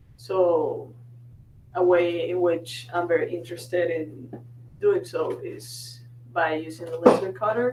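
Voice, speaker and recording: A woman with a Spanish accent, fairly low in pitch, with lively intonation, big swings in loudness, a fairly slow pace, long, frequent pauses and audible room echo. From Venezuela. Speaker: architect, new makerspace member. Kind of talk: group introduction at a meeting.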